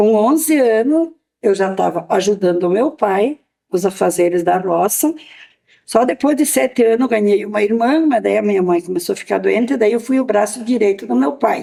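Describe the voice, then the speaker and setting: A woman's fairly high voice with a dark, mellow tone and lively intonation, at a moderate pace and very even loudness. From Mato Castelhano, Rio Grande do Sul, Brazil. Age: 70s. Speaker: elderly farmer. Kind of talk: interview testimony.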